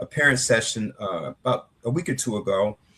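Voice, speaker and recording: Speech comes at a fairly slow pace. There is a somewhat breathy quality to it. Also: man. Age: 60s. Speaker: author and anti-violence activist. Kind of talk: interview. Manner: repetitive, conversational with filler words.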